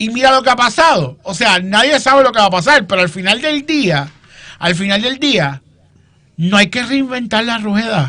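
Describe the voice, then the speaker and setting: Raising and projecting his voice, a man at high pitch speaks at a moderate pace with a bright, sharp, animated tone and lively intonation. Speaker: political commentator. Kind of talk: political panel discussion.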